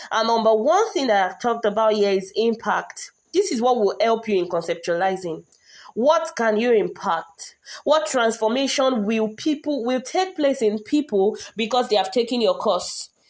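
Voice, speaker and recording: A woman speaks at a moderate pace. Her fairly high voice has lively intonation. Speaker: online course coach. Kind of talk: lecture. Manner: animated, passionate; pitch rises when excited.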